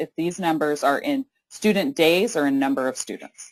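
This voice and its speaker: The woman is loud, with very wide pitch swings around a medium pitch. Her pace is moderate. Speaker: webinar moderator, legal advocate. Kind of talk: webinar moderation. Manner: hesitant, many fillers.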